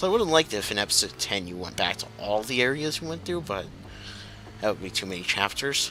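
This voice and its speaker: Music plays behind a man who speaks very fast in a fairly low voice. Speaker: gaming video commentator. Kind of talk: let's play commentary. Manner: halting.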